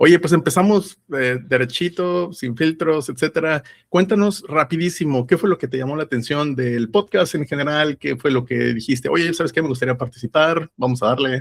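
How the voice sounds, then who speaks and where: Hardly pausing, a man with a plain, everyday voice and a fairly high pitch speaks with ordinary pitch variation in a dry, close sound with no echo. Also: moderate pace. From Mexico. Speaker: podcast host. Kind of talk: interview. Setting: call.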